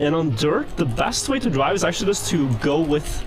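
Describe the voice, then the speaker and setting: Over music in the background, a man with a Norwegian accent talks at a moderate pace with ordinary pitch variation. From Norway. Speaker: speedrunner. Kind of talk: live gameplay commentary.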